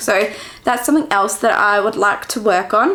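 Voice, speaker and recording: With an Australian accent, a woman talks at a fairly quick pace and a medium pitch over noticeable background noise. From Western Australia, Perth. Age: 20s. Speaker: vlogger. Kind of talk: casual chat.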